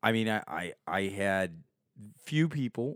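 Fairly low-pitched male voice, an unremarkable speaking voice with ordinary pitch variation, dry and close with no echo, on a very clean recording with a silent background. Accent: American. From Chicago suburbs. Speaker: filmmaker and comedian. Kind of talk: casual chat.

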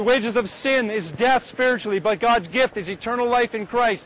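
A man's voice rings out at an extremely high pitch while noticeable noise fills the background. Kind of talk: scripted narration.

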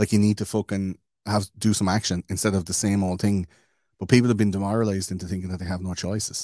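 A man with an Irish accent speaks very fast in a fairly low, monotone, flat voice. The recording is very clean, with a silent background and a dry, close sound with no echo. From Ireland. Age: 30s. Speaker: podcaster. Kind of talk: casual chat.

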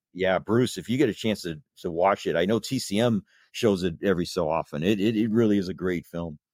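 A very deep, low-pitched man with a Midwestern American accent and ordinary pitch variation, at a fairly quick pace, dry and close with no echo on a very clean recording with a silent background. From US Midwest, Indiana (South Bend). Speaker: blogger and horror film fan. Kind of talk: casual interview chat. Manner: halting, frequent repetitions.

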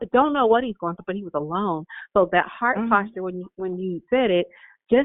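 A woman speaks with a plain, everyday voice at a medium pitch. Her pitch variation is ordinary. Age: 50s. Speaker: school staff caller. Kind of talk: testimony. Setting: phone call.

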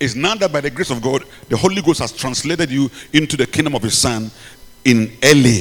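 A man with a Ghanaian accent speaks at a fairly quick pace. His medium-pitched voice has lively intonation. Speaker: preacher and bishop. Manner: animated, repetitive, halting at times.

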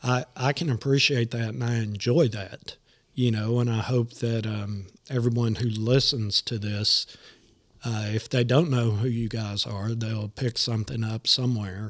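A man speaks with a Southern US accent. His intonation stays fairly even. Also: medium pitch for a man, fairly slow pace. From Nashville, Tennessee. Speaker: podcast host. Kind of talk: casual chat.

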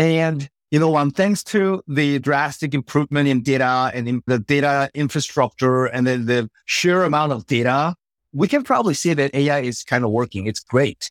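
Speaking at a moderate pace with a Korean accent, a man has a fairly high pitch and ordinary pitch variation, recorded dry and close with no echo. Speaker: startup CEO. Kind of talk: interview.

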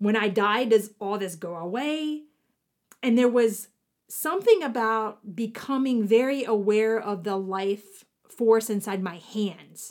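In a very clean recording with a silent background, a woman with an American accent and a fairly high pitch uses an ordinary speaking voice, ordinary pitch variation and a fairly slow pace. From US South, southwestern Virginia (Appalachia). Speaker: podcast host, spiritual teacher. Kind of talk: reflective spiritual monologue.

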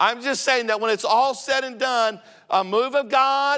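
Raised and projected, a man's extremely high voice has a bright, sharp tone, fairly even intonation and a moderate pace. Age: 50s. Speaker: visiting preacher. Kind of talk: revivalist Pentecostal sermon, rising to a climax with amen call-and-response. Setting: church pulpit with congregation. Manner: stammering restarts, repeating words before pressing on.

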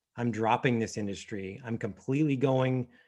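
A man with an unremarkable speaking voice talks at a moderate pace and medium pitch with fairly even intonation. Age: 40s. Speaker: financial planner, firm founder. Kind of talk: interview.

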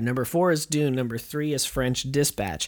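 A man has an ordinary speaking voice. He talks at a moderate pace, and his pitch varies in an ordinary way. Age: 30s. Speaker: podcast co-host. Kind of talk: casual chat.

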